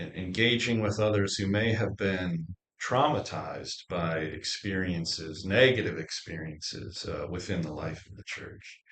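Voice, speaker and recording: A man speaks in a very deep, low pitch with ordinary pitch variation and big swings in loudness. He keeps a fairly slow pace with hardly any pauses. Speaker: podcast co-host. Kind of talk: podcast interview question.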